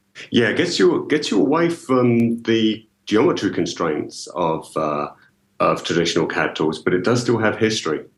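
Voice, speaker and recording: A man with a medium-pitched voice and a slight British accent, speaking at a moderate pace with vocal fry. His pitch swings very widely while his loudness stays very even. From UK. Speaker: engineering software marketing executive. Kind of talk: podcast interview.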